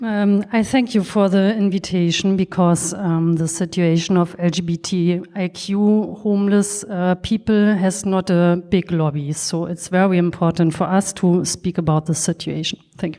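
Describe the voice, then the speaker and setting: At a moderate pace, a woman with a German accent talks at a medium pitch with fairly even intonation. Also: hardly any pauses. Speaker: social worker. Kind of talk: panel discussion. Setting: stage with audience. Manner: halting.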